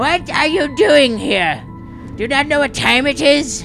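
A put-on character voice, high in pitch, goes at a moderate pace over clear background music.

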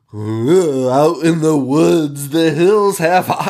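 A man speaks in a put-on character voice at a fairly high pitch. His pace is very slow. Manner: insane, unhinged.

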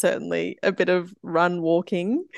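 A woman speaks with an Australian accent at a fairly low pitch. Her intonation stays fairly even, and the sound is dry and close with no echo. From Brisbane, Queensland, Australia. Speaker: amateur trail runner. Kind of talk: interview. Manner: halting, many fillers.

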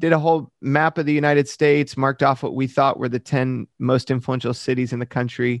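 A man with an American accent talks at a fairly quick pace in a medium pitch and a flat monotone. The sound is dry and close with no echo, over a quiet background. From Michigan, US Midwest. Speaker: pastor. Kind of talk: interview.

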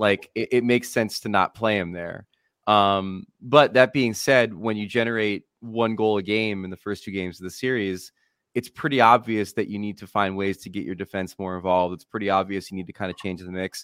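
An unremarkable speaking voice, this man's is fairly low in pitch and comes with an American accent, big swings in loudness and a fairly quick pace, all on a very clean recording with a silent background and a dry, close sound with no echo. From Central New Jersey, Monmouth County. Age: 40s. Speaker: hockey analyst. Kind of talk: casual chat.

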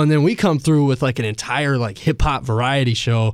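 A man with an unremarkable speaking voice and an American accent talks at a fairly quick pace and medium pitch with ordinary pitch variation, on a very clean recording with a silent background. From Asheville, North Carolina. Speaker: rapper. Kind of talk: casual chat. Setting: studio.

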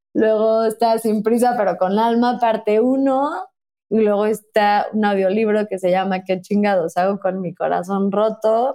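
A woman's fairly high yet dark, mellow voice, fairly slow and with fairly even intonation. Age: 30s. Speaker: author and podcaster. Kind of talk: casual interview. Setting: remote recording from home.

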